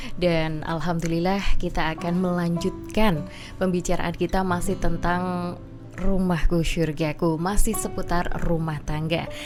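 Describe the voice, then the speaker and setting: Against music in the background, a woman speaks at a fairly slow pace in a fairly low pitch, her intonation fairly even. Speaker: radio host. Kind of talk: radio talk show host.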